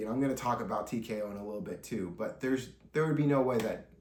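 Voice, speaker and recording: A man with a medium-pitched voice talks in a room with audible echo. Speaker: wrestling news podcaster. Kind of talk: solo commentary podcast. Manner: animated.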